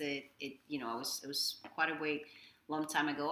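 With a Spanish accent, a woman speaks at a moderate pace in a very deep, low voice with a bright, sharp tone. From Dominican Republic. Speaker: executive chef. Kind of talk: casual interview.

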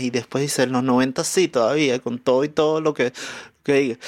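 Over a silent background in a very clean recording, a man with a normal speaking voice talks at a fairly slow pace, fairly high in pitch with fairly even intonation. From Venezuela, Caracas. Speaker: musician and comedian. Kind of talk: casual chat.

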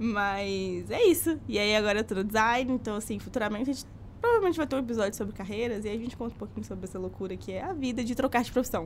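A woman's fairly high voice, an unremarkable speaking voice, carries ordinary pitch variation. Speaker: university student, podcast co-host. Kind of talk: casual chat. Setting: studio.

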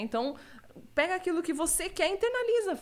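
A woman is speaking. She goes at a very fast pace. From Rio Grande do Sul, Brazil (Osório). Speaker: gamer and streamer. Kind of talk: casual chat. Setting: live stream.

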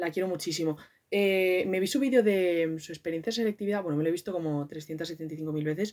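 Here a woman speaks with a Madrid accent at a fairly quick pace. Her voice is fairly low-pitched with ordinary pitch variation. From Madrid, Spain. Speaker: podcaster. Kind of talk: casual monologue. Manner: animated.

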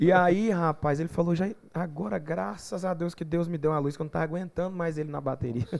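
A man with an ordinary speaking voice talks at a fairly quick pace, fairly high in pitch, with ordinary pitch variation. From Goiás, Brazil (São Miguel do Araguaia). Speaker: gospel singer. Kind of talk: casual chat.

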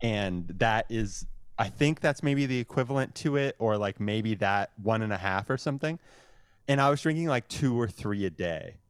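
This is a plain, everyday voice. It has ordinary pitch variation and a moderate pace. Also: man, medium pitch for a man. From Windsor, Ontario, Canada. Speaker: musician and podcaster. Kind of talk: casual chat. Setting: video call.

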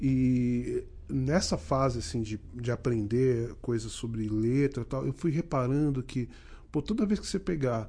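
A man's medium-pitched, dark and mellow voice, somewhat breathy, over a quiet background. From Rio de Janeiro, Duque de Caxias. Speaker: musician. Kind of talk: casual chat.

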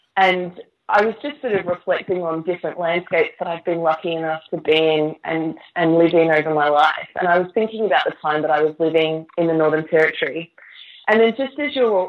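A woman with an Australian accent, fairly low in pitch, at a moderate pace with ordinary pitch variation. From Queensland, Australia. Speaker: novelist. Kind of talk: interview.

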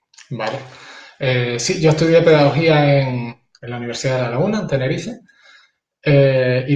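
A man speaks at a fairly quick pace with a fairly high pitch and a somewhat breathy sound. His pitch varies in an ordinary way. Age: 40s. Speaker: martial arts teacher and school counselor. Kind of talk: casual interview chat.

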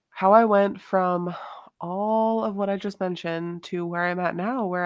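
A woman with an unremarkable speaking voice, fairly low pitch and ordinary pitch variation, at a moderate pace over a quiet background. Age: 20s. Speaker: empowerment coach and podcast host. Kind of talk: solo podcast monologue. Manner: casual, conversational with fillers.

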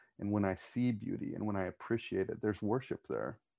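A man's voice at a moderate pace with fairly even intonation, a normal speaking voice. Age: 40s. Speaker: church pastor. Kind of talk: casual panel discussion.

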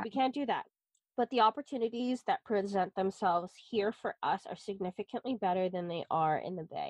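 A woman with an American accent speaks in an unremarkable speaking voice at medium pitch. Her pace is moderate, pitch variation ordinary, and the sound dry and close with no echo. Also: quiet background. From US West Coast, San Francisco Bay Area. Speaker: podcast co-host. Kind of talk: casual chat.

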